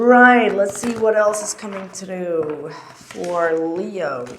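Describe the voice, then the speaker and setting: Noticeable background noise and audible room echo accompany speech with ordinary pitch variation. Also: woman. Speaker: tarot reader. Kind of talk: tarot reading.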